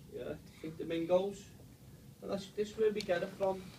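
A man with a Liverpool accent talks at a high pitch and a moderate pace. His intonation is fairly even, with noticeable background noise. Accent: Scouse. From Liverpool, England. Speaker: stadium tour guide. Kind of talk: guided tour talk to a group.

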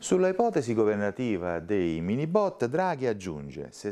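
A man's dark, mellow, fairly low voice with very wide pitch swings at a moderate pace. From Italy. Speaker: news presenter. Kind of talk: news reading. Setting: studio. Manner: formal, brisk and even-paced, neutral broadcast delivery; clear, measured, with little emotional colouring. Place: studio. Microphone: lapel.

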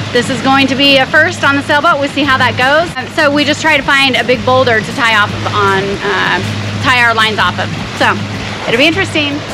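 A woman's raised, projected voice at a fairly quick pace with ordinary pitch variation, dry with no echo, music in the background. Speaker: sailing vlogger. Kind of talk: casual vlog chat explaining a procedure. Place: boat. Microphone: phone near.

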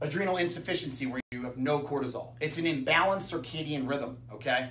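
The pace of this man's speech is fairly quick. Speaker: nutrition educator. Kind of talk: lecture. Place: empty room. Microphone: camera far.

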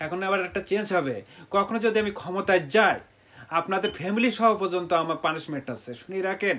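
Ordinary pitch variation in a man's high voice. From Bangladesh, Satkhira district; Bangladesh. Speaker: self-styled religious preacher. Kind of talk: monologue video sermon. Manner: loud; agitated. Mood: stern, threatening. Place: home room. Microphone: phone near.

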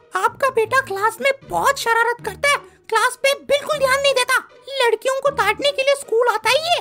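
Using a cartoonish character voice, a woman speaks at an extremely high pitch and a fairly quick pace with fairly even intonation. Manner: snappy, dismissive, scolding.

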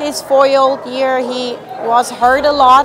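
A woman's high-pitched voice at a moderate pace, with noticeable background noise. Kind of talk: interview answer. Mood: happy, a bit shy, laughing. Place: hall. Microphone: lapel.

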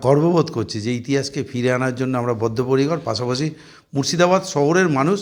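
With an ordinary speaking voice at medium pitch, a man talks with ordinary pitch variation in a very clean recording with a silent background. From Murshidabad, West Bengal, India. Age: 50s. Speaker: municipal chairman. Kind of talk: press interview.

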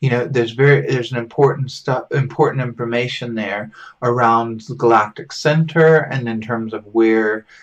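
In an American accent, a man speaks at a moderate pace with fairly even intonation and hardly any pauses against a quiet background. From US South (southern Alabama). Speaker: folk magic teacher. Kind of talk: lecture. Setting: home recording. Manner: halting.

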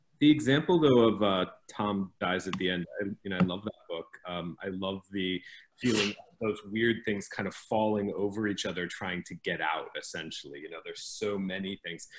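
A man with an American accent, fairly low in pitch, at a moderate pace, with ordinary pitch variation, big swings in loudness, and light background noise. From US Midwest, Ohio. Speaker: author and teacher; teacher. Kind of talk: panel discussion. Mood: thoughtful, friendly. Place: home room. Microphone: video call.

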